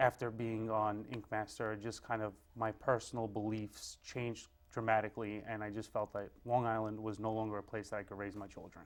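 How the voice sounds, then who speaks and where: In a Brooklyn accent, a man talks at a fairly quick pace with a fairly low pitch and monotone, flat intonation. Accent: New York (Brooklyn). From Brooklyn, New York (Greenpoint). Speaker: tattoo artist and shop owner. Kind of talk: interview. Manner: casual, with many fillers.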